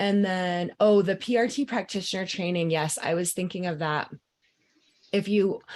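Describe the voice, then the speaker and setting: A woman's fairly low voice with ordinary pitch variation over a quiet background, an ordinary speaking voice. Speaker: mind-body coach. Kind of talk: live group coaching call.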